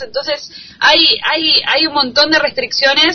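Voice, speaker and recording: In an Argentine accent, a woman speaks at a moderate pace over noticeable background noise. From Argentina. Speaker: journalist. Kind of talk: interview. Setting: Skype call. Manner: halting, many repetitions.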